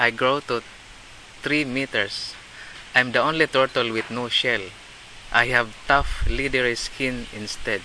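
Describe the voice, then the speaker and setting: A man with a Filipino accent, medium pitch, fairly even intonation, a fairly slow pace and long, frequent pauses. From Philippines. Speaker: volunteer working with fishermen and turtle rescue. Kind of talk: casual interview, explaining. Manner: halting, repeats words.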